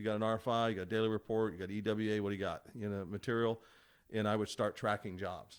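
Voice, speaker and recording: A man talks at a very fast pace in a monotone, flat intonation, his pitch fairly low. The recording is very clean with a silent background. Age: 60s. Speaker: construction estimator. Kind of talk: casual chat. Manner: halting, with many restarts and fillers.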